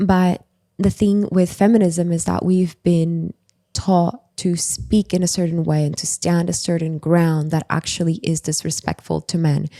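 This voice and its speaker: A woman speaks at a fairly slow pace with a dark, mellow tone, a fairly low pitch and fairly even intonation. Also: dry, close sound with no echo. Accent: non-native. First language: not English. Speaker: writer and former new age practitioner. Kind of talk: podcast interview.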